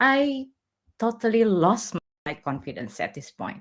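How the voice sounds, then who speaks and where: A woman speaks at a fairly slow pace with a non-native accent, vocal fry, and very wide swings in pitch. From Indonesia. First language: not English. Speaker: technical blogger and conference speaker. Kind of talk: conference talk. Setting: virtual online event.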